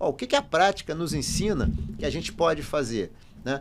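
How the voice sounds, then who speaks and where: A man's voice has vocal fry and very wide pitch swings. He speaks at a moderate pace. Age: 60s. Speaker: finance professor and consultant. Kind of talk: podcast interview.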